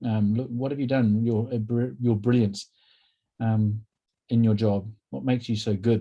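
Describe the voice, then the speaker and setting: A man with a New Zealand accent speaks in a dark, mellow tone at a moderate pace. His intonation stays fairly even, broken by long, frequent pauses. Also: medium pitch for a man. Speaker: workshop presenter, counsellor. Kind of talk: workshop presentation.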